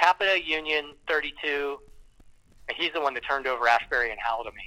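At a very fast pace, a man with an American accent speaks in a fairly high voice. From Ohio, US Midwest. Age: 50s. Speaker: musician and surf industry worker. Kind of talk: casual chat.

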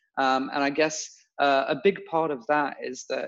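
A man with a London accent and a fairly high pitch. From London, England (Bulgarian family). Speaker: podcast co-host, entrepreneur. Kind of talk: casual chat. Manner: halting.

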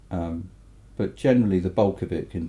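In an English accent, a man speaks with a very deep, low pitch and a dark, mellow tone. Vocal fry shows up as he talks at a moderate pace. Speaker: mastering engineer and record producer. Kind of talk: casual interview. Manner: halting.

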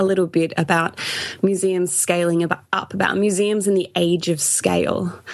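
A woman with an Australian accent at medium pitch. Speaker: podcast co-host, museum blogger. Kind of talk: casual chat.

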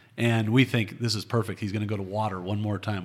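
Delivered at a very fast pace in a monotone, flat intonation, the speech comes through on a very clean recording with a silent background. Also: man. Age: 40s. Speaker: hunter. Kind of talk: casual chat.

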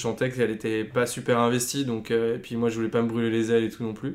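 Using an ordinary speaking voice, a man talks at a fairly quick pace with a medium pitch. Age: 30s. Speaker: advertising creative. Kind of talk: casual interview.

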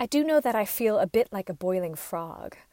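On a very clean recording with a silent background, a woman at a medium pitch talks at a moderate pace with very wide pitch swings. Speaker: oral historian. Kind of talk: scripted narration. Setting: recording at home in a closet.

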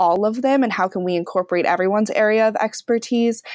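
This woman's voice is recorded very cleanly against a silent background. Her pitch varies in an ordinary way. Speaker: engineering student. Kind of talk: panel interview. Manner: hesitant, filler-heavy.

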